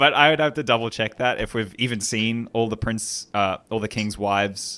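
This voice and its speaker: A man speaks at a moderate pace with a medium pitch. His tone is bright and sharp, and his intonation fairly even. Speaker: podcast host. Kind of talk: casual chat. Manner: hesitant, many fillers.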